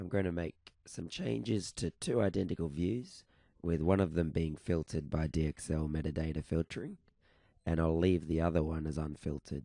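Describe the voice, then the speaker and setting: With an Australian accent, a man speaks at a moderate pace in a very deep, low pitch and a dark, mellow tone, with ordinary pitch variation, in a dry, close sound with no echo. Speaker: software developer. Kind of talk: tutorial.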